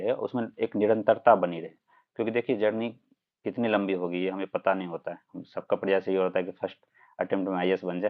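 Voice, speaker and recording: A man's fairly low-pitched voice moves at a moderate pace. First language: Maithili (speaking Hindi). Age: 20s. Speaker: civil services exam topper. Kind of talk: live-stream Q&A interview.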